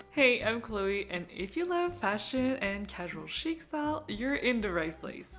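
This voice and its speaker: A woman's fairly high voice in a French-Canadian accent, fairly slow yet with hardly any pauses, full of very wide pitch swings. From Quebec, Montreal. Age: 30s. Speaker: fashion vlogger. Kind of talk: casual chat to camera.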